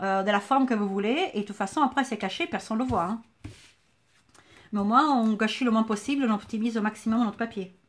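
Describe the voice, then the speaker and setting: With a southern French accent, a woman speaks very fast at a fairly high pitch, somewhat breathy, with long, frequent pauses. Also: ordinary pitch variation, very clean recording, silent background. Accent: sing-song southern French. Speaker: crafts teacher, shop owner. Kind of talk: tutorial. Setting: Facebook live stream.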